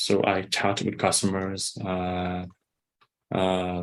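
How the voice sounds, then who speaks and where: A man speaks with a Vietnamese accent in a very deep, low voice. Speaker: English teacher and bank employee. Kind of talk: casual chat. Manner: halting.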